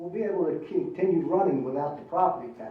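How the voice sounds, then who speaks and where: Over noticeable background noise and audible room echo, a man talks at a fairly quick pace in a high voice. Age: 80s+. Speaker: town council member. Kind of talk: public meeting discussion. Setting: town council meeting.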